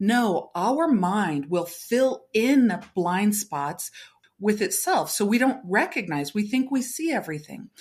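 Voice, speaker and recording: A somewhat breathy voice with an American accent, at a very slow pace, with very wide pitch swings. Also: woman, fairly high pitch for a woman. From Navajo Nation, US Southwest. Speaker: spiritual teacher and medicine person. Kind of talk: interview.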